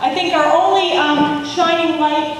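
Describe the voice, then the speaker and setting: A woman with a high pitch is heard amid noticeable background noise and audible room echo. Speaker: environmental advocate, conference speaker. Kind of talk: conference speech.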